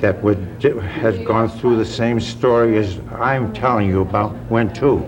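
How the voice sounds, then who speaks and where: In a Boston accent, a man talks at a fairly slow pace with a medium pitch and fairly even intonation, over music in the background and audible room echo. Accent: Boston-area New England. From Massachusetts, Beverly. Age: 80s+. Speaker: retired factory worker and vocational teacher. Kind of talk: oral history interview.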